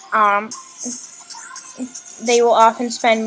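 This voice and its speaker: A high-voiced woman at a moderate pace, amid noticeable background noise. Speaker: live streamer. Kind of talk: live stream talk. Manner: halting.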